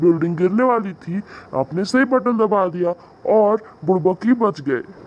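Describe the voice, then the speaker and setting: In a cartoonish character voice, a man speaks at a moderate pace with a cheerful tone and a high pitch. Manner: cheerful, polite.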